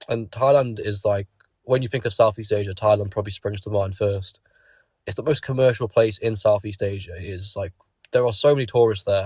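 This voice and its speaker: On a very clean recording with a silent background, a man speaks with a British accent at a fairly low pitch. His voice is somewhat breathy, fairly quick, and fairly even in intonation. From Britain. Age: 20s. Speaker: YouTuber. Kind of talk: casual monologue.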